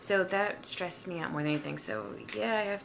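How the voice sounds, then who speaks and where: A woman's voice over noticeable background noise. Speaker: stroke and leukemia patient. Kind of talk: personal video diary. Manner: halting, stumbling over words.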